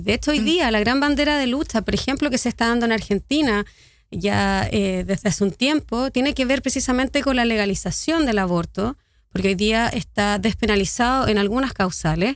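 Speaking with a Chilean accent, a woman delivers her words at a fairly high pitch with lively intonation and very even loudness. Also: fairly quick pace. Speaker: activist. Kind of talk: radio interview.

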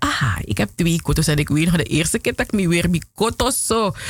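Her voice is fairly low for a woman, with audible vocal fry. The tone comes across as animated. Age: 40s. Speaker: radio host. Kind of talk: radio presenting.

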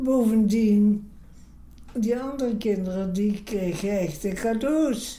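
At a very slow pace, a woman speaks in a fairly high voice with a dark, mellow tone, and room echo is audible. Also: ordinary pitch variation. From Lithuania. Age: 90s. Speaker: retired court interpreter. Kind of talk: life story interview. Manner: slightly breathless.

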